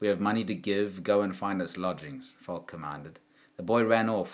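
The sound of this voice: The intonation is fairly even. It comes in an unforced reading voice.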